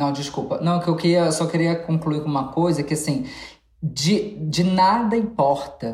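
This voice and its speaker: Somewhat breathy, with a dark, mellow tone, a woman speaks with lively intonation amid audible room echo. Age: 30s. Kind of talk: casual chat.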